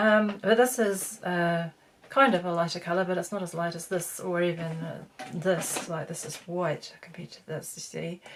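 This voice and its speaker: A woman with a fairly low pitch and fairly even intonation talks at a moderate pace against noticeable background noise. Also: big swings in loudness. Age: 50s. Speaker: beauty vlogger. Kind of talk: tutorial. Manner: halting; casual.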